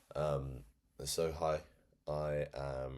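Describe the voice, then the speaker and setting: A man's very deep, low voice with monotone, flat intonation. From England, Cornwall. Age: 20s. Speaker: vlogger, fashion freelancer. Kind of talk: casual monologue. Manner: hesitant, many fillers.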